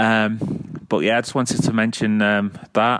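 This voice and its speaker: Over noticeable background noise, a man with a Mancunian accent talks in a fairly low pitch with a monotone, flat intonation. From Manchester, England. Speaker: caller. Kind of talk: voicemail. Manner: halting, many fillers.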